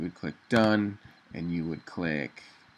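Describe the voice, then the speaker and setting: At a moderate pace, a man with a very deep, low pitch and vocal fry speaks with ordinary pitch variation. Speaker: web designer. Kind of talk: tutorial. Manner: casual with fillers.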